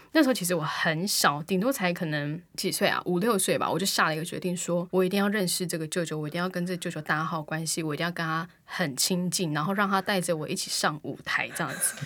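With hardly any pauses, a woman with a fairly low pitch and ordinary pitch variation talks at a very fast pace. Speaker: podcast co-host and aspiring singer. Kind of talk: casual chat.

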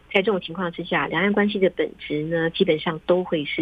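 A woman with a fairly low pitch and an ordinary speaking voice talks at a moderate pace with fairly even intonation. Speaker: foreign correspondent reporting from Beijing. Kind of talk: interview. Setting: remote call.

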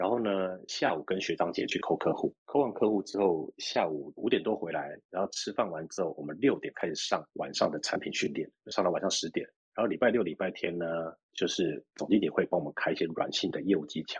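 Heard in a dry, close sound with no echo, a man speaks at a fairly quick pace. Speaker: sales executive in cybersecurity. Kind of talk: interview.

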